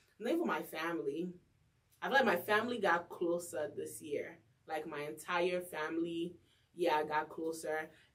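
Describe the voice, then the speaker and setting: A woman speaks in an animated tone at a moderate pace. Her pitch is fairly low, with ordinary variation. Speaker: radio host and podcast co-host. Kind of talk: casual chat. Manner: loud.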